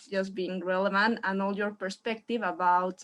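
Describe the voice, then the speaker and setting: A woman with a Spanish accent talks on a very clean recording against a silent background. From Mexico. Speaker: audience member asking question. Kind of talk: audience question. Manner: halting.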